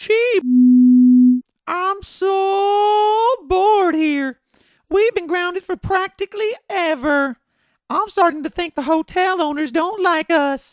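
At a fairly slow pace, a cartoonish character voice talks with an extremely high pitch. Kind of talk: cartoonish puppet voice. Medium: audio drama. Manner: petulant, childish, restless.

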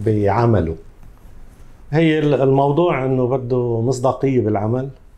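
A man with a Lebanese accent speaks at a very slow pace and a medium pitch. His tone is dark and mellow, and the room echo is audible. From Lebanon, Tripoli. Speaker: salon owner. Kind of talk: interview. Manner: halting.

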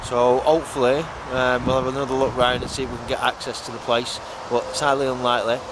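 A man talks at a very fast pace, the sound dry with no echo but with noticeable background noise. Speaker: urban explorer vlogger. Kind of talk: casual vlog chat. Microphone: phone near.

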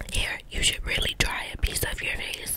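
Whispering at a fairly slow pace, a woman speaks. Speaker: ASMR creator. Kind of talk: casual ASMR chat and role play. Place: home room. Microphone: studio mic.

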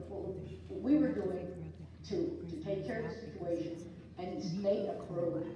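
A woman's voice carries strong room echo over light background noise. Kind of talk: meeting remarks. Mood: emphatic, defensive. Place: meeting room. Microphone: camera far.

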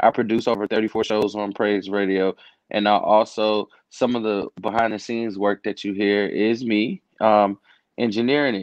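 A man's fairly low voice in a monotone, flat intonation at a moderate pace, dry sound with no echo, over a quiet background. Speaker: podcast guest. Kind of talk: interview answer. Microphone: video call.

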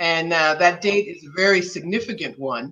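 A woman speaks in a fairly low voice with ordinary pitch variation. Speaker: interview guest. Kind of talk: interview answer. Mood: calm, earnest. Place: home room. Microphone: video call.

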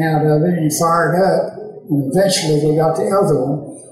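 A man's high voice with an American accent, fairly even intonation, audible room echo and light background noise. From Tennessee, USA. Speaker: WWII veteran. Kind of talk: interview answer.

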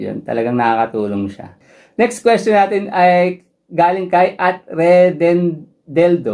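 A man speaks very slowly in a high pitch, with a dark, mellow tone. His pitch swings very widely and his loudness rises and falls sharply. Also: quiet background. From Philippines. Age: 30s. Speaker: running vlogger. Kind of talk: Q&A vlog, running tips. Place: home room.

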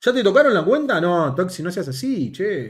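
Against a quiet background, a man with a high pitch speaks at a moderate pace, his pitch swinging very widely. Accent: Rioplatense. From Argentina. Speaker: gaming youtuber. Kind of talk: gameplay commentary. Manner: animated. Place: home room.

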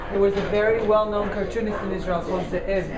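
Very fast speech over loud background noise. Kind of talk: interview answer. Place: cafe. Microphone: phone near.

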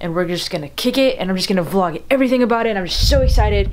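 A woman rattles off her words very fast, her pitch varying in an ordinary way, with light noise in the background. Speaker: vlogger. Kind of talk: casual vlog chat. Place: home room. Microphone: phone near.

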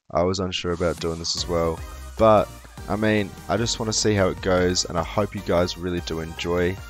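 Over music in the background, a man talks at a moderate pace. His pitch is very deep and low, with ordinary variation. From Australia (moved there as a child). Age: 20s. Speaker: gaming YouTuber. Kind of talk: casual video intro to camera.

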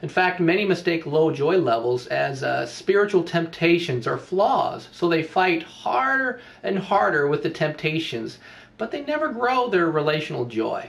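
Very wide pitch swings at a moderate pace. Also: man. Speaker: pastor coach. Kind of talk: teaching talk with a story. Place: home room. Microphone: webcam.

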